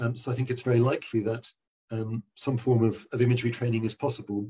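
The tone is dark and mellow, somewhat breathy, and the pace runs fairly quick. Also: man. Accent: southern English. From London, England. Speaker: neurologist. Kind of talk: interview answers, explanatory. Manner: hesitant, many fillers and repeated words.

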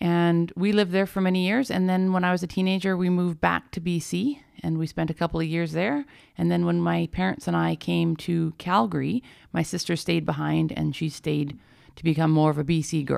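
A woman with a western Canadian accent at a fairly quick pace, on a very clean recording with a silent background. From Alberta, Canada. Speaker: paramedic and energy healer. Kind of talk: interview.

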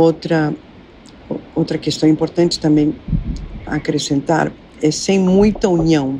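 A woman speaks at a very slow pace in a very deep, low pitch, with long, frequent pauses. Her loudness stays very even, her intonation fairly even, and noticeable background noise is present. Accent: Spanish. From Argentina, Buenos Aires. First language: Spanish (speaking Portuguese). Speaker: psychoanalyst and former actress. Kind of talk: interview.

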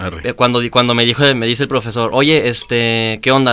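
A man talks at a fairly quick pace in an unremarkable speaking voice. His pitch is medium. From Chihuahua, northern Mexico. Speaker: reggaeton and trap artist. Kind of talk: casual chat.

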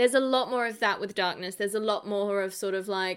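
Fairly high-pitched, a woman with an unremarkable speaking voice speaks in fairly even intonation in a very clean recording with a silent background. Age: 20s. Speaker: film podcast host. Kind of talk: casual chat.

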